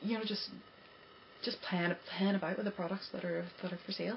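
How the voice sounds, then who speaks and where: With an Irish accent, a woman speaks at a fairly low pitch over noticeable background noise. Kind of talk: casual talk to camera. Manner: fast, stammering, breathless.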